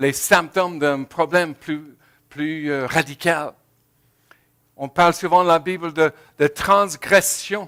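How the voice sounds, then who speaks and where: A man's fairly high, bright, sharp voice at a very slow pace, with fairly even intonation, big swings in loudness, long, frequent pauses, and a very clean recording with a silent background. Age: 70s. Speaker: pastor. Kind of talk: sermon. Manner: halting.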